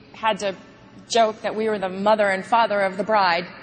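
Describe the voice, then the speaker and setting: Moderate-paced speech from a woman, fairly high in pitch, amid noticeable background noise. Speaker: actress. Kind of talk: eulogy. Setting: memorial service in arena.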